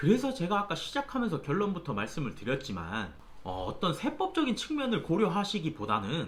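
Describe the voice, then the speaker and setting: Speech comes at a middling speed while background noise is clearly heard. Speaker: tax accountant YouTuber. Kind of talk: tutorial.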